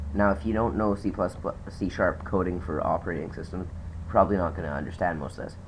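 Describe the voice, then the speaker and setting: Very fast and somewhat breathy, a man speaks with a very deep, low pitch. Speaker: hobby programmer. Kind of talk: casual screen-recording tutorial talk.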